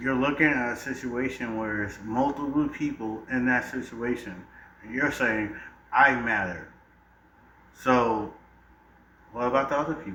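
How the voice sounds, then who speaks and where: A man speaks at a fairly slow pace with long, frequent pauses and audible room echo. His pitch is medium, with ordinary variation. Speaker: debate panelist. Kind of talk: heated debate. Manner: animated.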